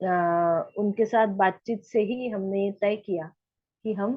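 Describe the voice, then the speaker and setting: A woman with a Marathi accent speaks at a medium pitch with ordinary pitch variation. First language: Marathi (speaking Hindi). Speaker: study group member and translator. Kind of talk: personal testimony in online group. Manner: halting, many hesitations.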